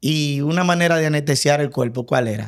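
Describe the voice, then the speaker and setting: The recording is very clean, with a silent background. A man speaks with fairly high pitch and ordinary pitch variation. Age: 50s. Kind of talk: testimony in podcast interview.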